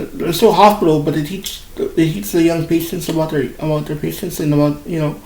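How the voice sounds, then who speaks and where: A man speaks with a fairly high pitch. Noticeable background noise and audible room echo are present. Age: 30s. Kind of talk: casual talk while drawing. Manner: halting, with many repeated words.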